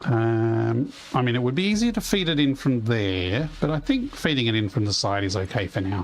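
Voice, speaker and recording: A man's medium-pitched voice with lively intonation, a moderate pace, hardly any pauses and very even loudness, over noticeable background noise. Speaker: video game streamer. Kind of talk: live gameplay commentary. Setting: livestream. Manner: rambling conversational.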